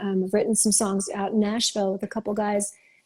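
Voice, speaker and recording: A woman's somewhat breathy, fairly high voice moves at a fairly quick pace. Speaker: singer-songwriter. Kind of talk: interview. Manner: casual, many fillers like um and like.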